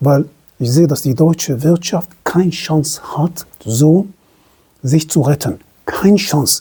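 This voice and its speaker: A woman with a non-native accent speaks in a very deep, low voice, dark and mellow in tone and somewhat breathy, with ordinary pitch variation. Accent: foreign accent in German. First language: not German (speaking German). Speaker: self-employed entrepreneur, commentator. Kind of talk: opinion monologue to camera. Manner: halting, self-correcting.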